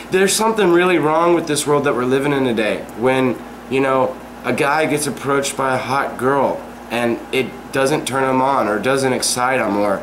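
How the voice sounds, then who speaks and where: A man speaks at a moderate pace and a medium pitch with ordinary pitch variation, his voice carrying audible room echo over noticeable background noise. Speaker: vlog talk show host. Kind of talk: casual chat.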